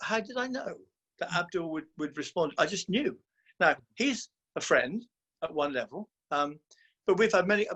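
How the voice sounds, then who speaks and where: Lively intonation marks this man's high-pitched voice. He keeps a moderate pace but takes long, frequent pauses. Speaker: podcast co-host. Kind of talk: casual group discussion. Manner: loud; halting, many repetitions.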